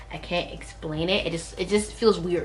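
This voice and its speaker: Female speech with audible room echo and noticeable background noise. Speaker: beauty YouTuber. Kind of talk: casual haul video. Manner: animated.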